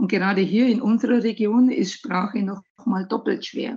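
A woman's fairly high, somewhat breathy voice at a fairly slow pace. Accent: Bavarian. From Bavaria, Germany. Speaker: hospital recruiting manager. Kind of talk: interview.

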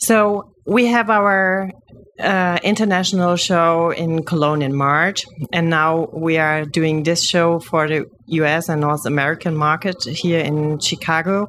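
A woman with a German accent talks at a fairly low pitch with ordinary pitch variation. Her pace is fairly slow and her loudness very even. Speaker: podcast host. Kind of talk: interview. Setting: content creator box at a trade fair.

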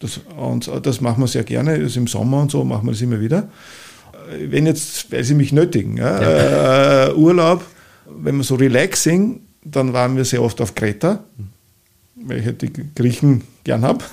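A man with an Upper Austrian accent speaks at a moderate pace in a medium voice. His pitch swings very widely, broken by long, frequent pauses. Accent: Upper Austrian, never picked up Viennese. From Upper Austria, Mühlviertel. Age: 60s. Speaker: travel author and event marketing entrepreneur. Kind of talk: interview.

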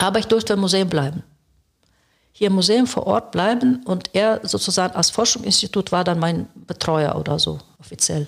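A woman at medium pitch with ordinary pitch variation, vocal fry, very even loudness and a moderate pace. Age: 70s. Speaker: historian, retired museum director. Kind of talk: interview, personal life story.

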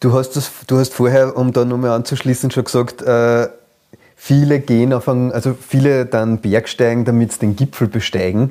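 A man with an Upper Austrian accent speaks in a dark, mellow tone with monotone, flat intonation. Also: medium pitch for a man, moderate pace. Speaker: podcast host. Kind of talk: interview conversation.

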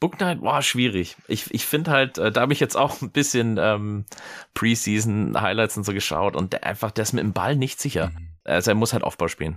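A man with a fairly low pitch speaks at a moderate pace. His intonation is lively. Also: very clean recording, silent background. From Germany, American parents. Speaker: sportswear retail employee. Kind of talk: casual chat. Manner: hesitant, many fillers.

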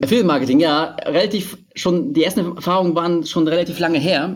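At a fairly quick pace, a man with a fairly high pitch speaks in a plain, everyday voice. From Berlin, Germany. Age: 30s. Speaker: online marketing entrepreneur. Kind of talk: podcast interview.

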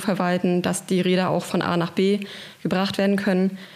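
Behind this woman, background noise is noticeable. She speaks very fast. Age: 30s. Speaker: cargo bike project coordinator. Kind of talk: interview. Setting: studio.

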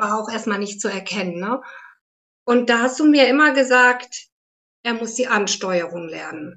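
A woman's fairly high voice at a fairly slow pace, broken by long, frequent pauses. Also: ordinary pitch variation. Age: 50s. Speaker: therapist, academy graduate. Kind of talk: interview conversation.

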